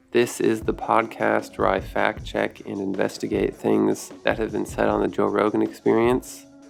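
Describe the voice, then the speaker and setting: A man talks with hardly any pauses while music plays in the background. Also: moderate pace. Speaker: podcast host. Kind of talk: fact-checking commentary podcast.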